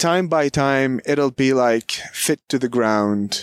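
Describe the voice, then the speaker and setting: On a very clean recording with a silent background and a dry, close sound with no echo, a man with a Palestinian accent speaks at a fairly slow pace in a medium pitch with lively intonation. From Palestine, Beit Safafa near Jerusalem. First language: Arabic. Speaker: local history guide. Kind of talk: guided walking tour. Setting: outdoors.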